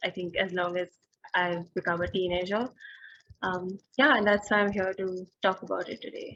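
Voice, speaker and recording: A woman speaks at a moderate pace in a medium pitch with a bright, sharp tone. Her intonation is fairly even. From India. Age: 20s. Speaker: social worker. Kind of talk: interview answer. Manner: hesitant, many fillers.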